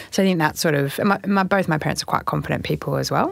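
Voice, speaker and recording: The woman talks at a very fast pace. There is noticeable background noise. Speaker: sports team CEO. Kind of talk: interview chat.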